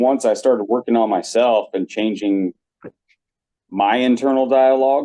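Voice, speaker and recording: A man speaks at a medium pitch and a moderate pace. He has an ordinary speaking voice with ordinary pitch variation. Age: 40s. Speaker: podcast guest. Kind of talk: casual chat.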